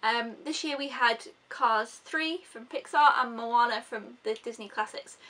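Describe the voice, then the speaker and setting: Her voice is raised and projected. This woman's tone sounds bright and sharp. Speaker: film reviewer. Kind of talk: casual vlog chat. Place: home room. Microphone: phone near.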